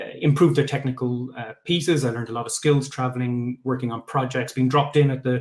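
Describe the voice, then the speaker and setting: A man's medium-pitched voice comes through somewhat breathy. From Ireland, Limerick. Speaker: tech founder. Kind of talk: pitch talk. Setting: live online event. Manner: hesitant, many fillers.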